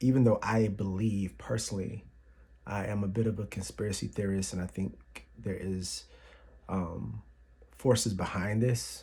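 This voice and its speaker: Soft-spoken and somewhat breathy, a man talks with an American accent. His pitch is fairly low, with a dark, mellow tone. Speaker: YouTuber. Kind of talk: casual vlog. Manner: halting.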